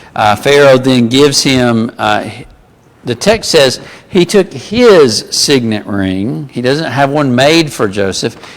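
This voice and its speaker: At a very slow pace, a man speaks with lively intonation. He has an American accent. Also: medium pitch for a man. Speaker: Bible class teacher. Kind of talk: Bible class lecture. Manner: conversational with many fillers.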